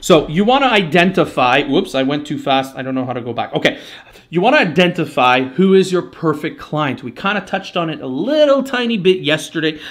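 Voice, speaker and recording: Loud and high-pitched, a man with a French Canadian accent talks at a fairly quick pace with very wide pitch swings. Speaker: marketing agency owner. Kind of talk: live webinar presentation.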